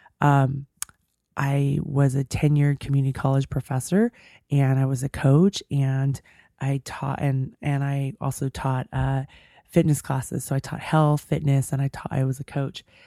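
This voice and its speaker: A woman's very deep, low voice, dark and mellow in tone, flat and monotone at a moderate pace, in a dry, close sound with no echo. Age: 40s. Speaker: radio show host and coach. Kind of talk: interview. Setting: radio studio.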